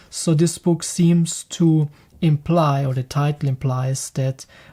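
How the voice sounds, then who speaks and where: This voice has a German accent. It moves at a very slow pace. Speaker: spiritual teacher, book reviewer. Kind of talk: reading aloud with commentary. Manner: halting.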